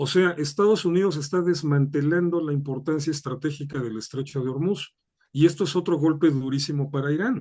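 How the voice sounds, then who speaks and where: This man talks at a fairly quick pace with a Mexican accent, his fairly high voice dark and mellow in tone, with ordinary pitch variation. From Mexico. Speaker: political analyst. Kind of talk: interview.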